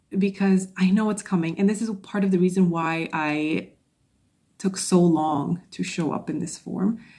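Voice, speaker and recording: Recorded very cleanly against a silent background, a woman speaks at a moderate pace and medium pitch with ordinary pitch variation. Her tone is dark and mellow, and somewhat breathy. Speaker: podcast host and social anxiety coach. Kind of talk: solo podcast monologue. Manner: stuttering, stumbling at times.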